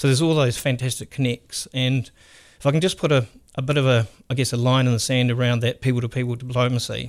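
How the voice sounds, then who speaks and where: Delivered at a very fast pace in a New Zealand accent, the speech keeps very even loudness and fairly even intonation. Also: man, medium pitch for a man. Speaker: economic development executive. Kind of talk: interview. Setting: studio.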